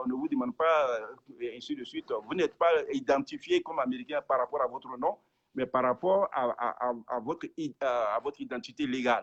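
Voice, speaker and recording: A man's fairly quick speech is captured with a dry, close sound and no echo. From francophone Africa. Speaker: pastor. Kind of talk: interview. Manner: halting.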